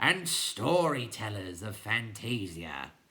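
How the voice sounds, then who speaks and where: At a fairly slow pace, someone performs a put-on character voice. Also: man. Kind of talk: formal oration. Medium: read story.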